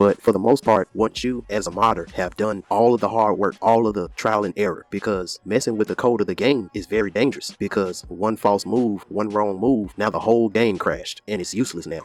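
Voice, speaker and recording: A man with a plain, everyday voice, fairly low in pitch, talking fairly quickly with hardly any pauses and fairly even intonation, in a dry, close sound with no echo. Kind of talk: casual rant to camera.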